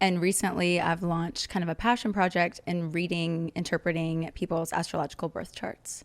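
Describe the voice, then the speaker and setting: A woman with an American accent has an unremarkable speaking voice at a fairly low pitch, with fairly even intonation. She speaks at a moderate pace with hardly any pauses, on a very clean recording with a silent background. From US Midwest, Kansas City. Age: 20s. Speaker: marketing professional and astrologer. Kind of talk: casual chat.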